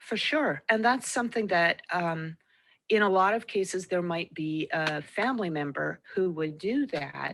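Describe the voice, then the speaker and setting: With an unremarkable speaking voice, a woman of medium pitch talks at a fairly slow pace with lively intonation against a quiet background. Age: 60s. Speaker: interviewer. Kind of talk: interview.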